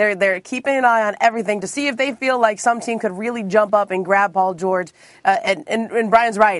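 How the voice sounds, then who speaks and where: A woman with an ordinary speaking voice talks fairly quickly at a fairly high pitch with ordinary pitch variation against a quiet background. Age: 40s. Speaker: NBA reporter. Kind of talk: casual chat.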